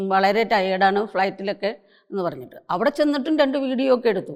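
With lively intonation, a woman speaks in a fairly high pitch. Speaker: bereaved mother of an actress. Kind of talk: personal testimony talk. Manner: halting, many pauses and repetitions.

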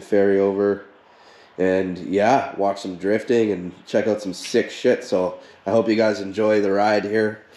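A man's fairly low, dark, mellow voice with monotone, flat intonation and audible room echo. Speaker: car owner vlogger. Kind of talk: casual vlog chat. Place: garage. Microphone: phone near.

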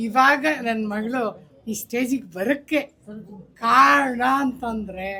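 Bright, sharp tone with lively intonation. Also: woman, fairly high pitch for a woman. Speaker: mother of the hospital founder. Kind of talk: short impromptu speech. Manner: halting.

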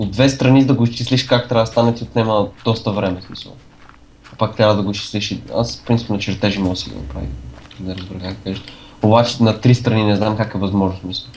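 A man with a plain, everyday voice talks at a fairly quick pace in a fairly low pitch, with ordinary pitch variation, big swings in loudness, and light background noise. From Bulgaria. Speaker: gamer. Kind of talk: casual chat.

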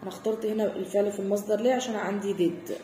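A woman with an Egyptian accent, light background noise and audible room echo. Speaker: English teacher. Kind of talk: tutorial. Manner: explanatory, code-switching between Arabic and English. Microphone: phone near.

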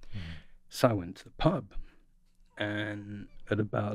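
With a London accent, a man speaks at a fairly low pitch in a dry sound with no echo over a quiet background. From north London, England. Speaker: archaeologist and professor; professor. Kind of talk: casual chat. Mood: relaxed, amused. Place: studio. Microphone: studio mic.

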